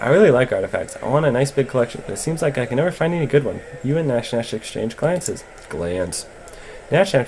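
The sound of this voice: Someone reads the text in an unforced reading voice.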